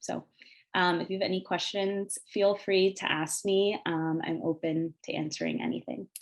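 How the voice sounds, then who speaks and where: In an unremarkable speaking voice with an American accent, the speaker moves at a moderate pace. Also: woman, fairly low pitch for a woman, fairly even intonation. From Northern Virginia (Arlington / Falls Church area). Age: 20s. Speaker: TV news reporter. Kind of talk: panel presentation. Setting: video call webinar.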